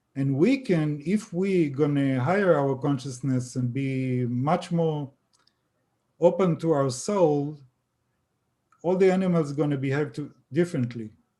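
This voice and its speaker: A man with an Israeli accent speaks fairly slowly, his fairly high-pitched voice dark and mellow in tone. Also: ordinary pitch variation. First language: Hebrew. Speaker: author on extraterrestrial contact. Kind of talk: interview. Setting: live stream video call. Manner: halting.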